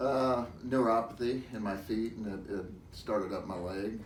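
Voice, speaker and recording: A man's fairly low voice at a moderate pace, with ordinary pitch variation, audible room echo and noticeable background noise. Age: 60s. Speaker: patient giving a testimonial. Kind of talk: interview testimony.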